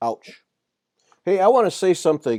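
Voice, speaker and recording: A man is speaking here. The sound is dry and close, with no echo. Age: 60s. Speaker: podcast host. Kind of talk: casual chat.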